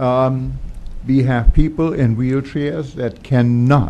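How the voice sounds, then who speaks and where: A man talks at a very slow pace in a medium pitch with ordinary pitch variation and a dark, mellow tone. Audible room echo surrounds his voice. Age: 70s. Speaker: resident speaking at public comment. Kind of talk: public comment at council meeting. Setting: township council meeting.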